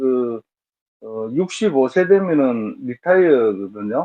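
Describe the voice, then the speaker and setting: Moving at a very slow pace, a man's voice makes very wide pitch swings. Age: 60s. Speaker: matchmaking show participant. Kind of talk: interview. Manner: halting.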